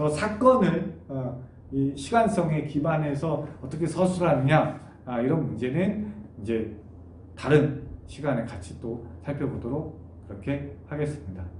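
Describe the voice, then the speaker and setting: A man speaks at a fairly high pitch with vocal fry. Room echo is audible. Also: lively intonation, fairly slow pace. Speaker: university lecturer. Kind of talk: online lecture. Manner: many filler sounds.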